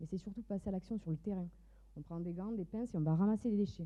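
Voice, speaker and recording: Fairly low in pitch and somewhat breathy, a woman speaks with a slight southern French accent and ordinary pitch variation. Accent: slight southern French Mediterranean. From southern France, Mediterranean coast. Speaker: entrepreneur, fashion designer. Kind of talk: startup pitch.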